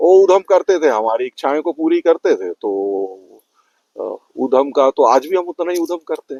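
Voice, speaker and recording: Big swings in loudness at a moderate pace. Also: man. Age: 60s. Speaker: parent of podcaster. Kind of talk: interview.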